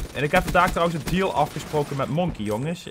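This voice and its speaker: A man at a very fast pace, over noticeable background noise. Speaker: gaming YouTuber. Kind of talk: gameplay commentary. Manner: casual, filler-heavy. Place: home room.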